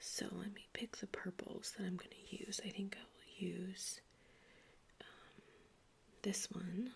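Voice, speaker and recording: Whispering and soft-spoken, the voice carries vocal fry and moves at a very slow pace. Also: woman. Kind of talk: ASMR craft video, soft-spoken talk to camera. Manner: soft-spoken, whispered, relaxing.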